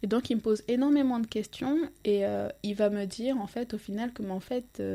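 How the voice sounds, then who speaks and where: This woman's voice is fairly high-pitched with a dark, mellow tone. Her intonation stays fairly even. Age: 30s. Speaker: life coach. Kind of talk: casual interview.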